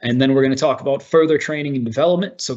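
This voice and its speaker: The man talks while noticeable background noise fills the recording. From US Northeast, Boston. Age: 30s. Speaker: workplace integration officer. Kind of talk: online presentation. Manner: animated.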